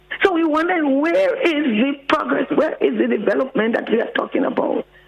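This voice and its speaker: With noticeable background noise, a woman talks at a fairly quick pace, her pitch swinging very widely. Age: 70s. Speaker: caller. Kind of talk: call-in radio comment.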